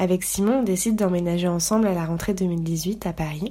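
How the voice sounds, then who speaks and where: A woman's medium-pitched, dark and mellow voice with ordinary pitch variation. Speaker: podcast host. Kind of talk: scripted narration; casual chat.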